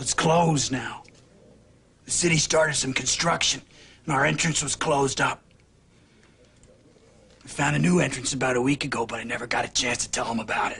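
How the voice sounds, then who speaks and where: A man puts on a raspy character voice at a fairly quick pace. He leaves long, frequent pauses. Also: medium pitch for a man, ordinary pitch variation. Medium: short film. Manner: terse, quiet.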